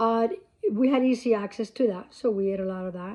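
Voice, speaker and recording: A woman speaks at a moderate pace in a fairly high voice. Her tone is dark and mellow. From Cuba. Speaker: vlogger. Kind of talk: casual talk to camera. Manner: halting.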